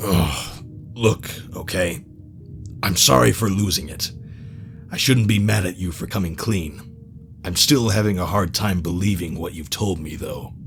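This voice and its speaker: Someone uses a put-on character voice at a moderate pace. Clear background noise runs underneath. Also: man, very deep, low pitch for a man. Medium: audio drama. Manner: casual, guarded.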